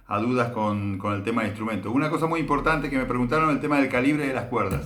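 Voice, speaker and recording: A man speaks at a medium pitch with ordinary pitch variation, and the room echo is audible. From Argentina. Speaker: bass teacher. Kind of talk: tutorial. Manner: hesitant, many filler sounds.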